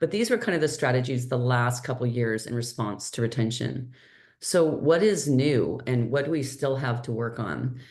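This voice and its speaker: Very deep, low pitch from a woman at a moderate pace, ordinary pitch variation, audible room echo. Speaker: healthcare strategist and nurse entrepreneur. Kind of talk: webinar presentation. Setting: online webinar.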